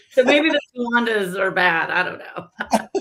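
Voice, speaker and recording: Here is a woman with a Texas accent. She talks at a very slow pace. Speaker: industry association representative. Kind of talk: casual interview chat.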